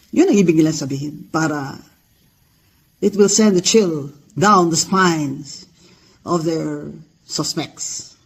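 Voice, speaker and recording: A man with a fairly high pitch and ordinary pitch variation talks at a very slow pace, leaving long, frequent pauses. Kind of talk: rally speech. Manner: fiery, defiant, rallying the crowd.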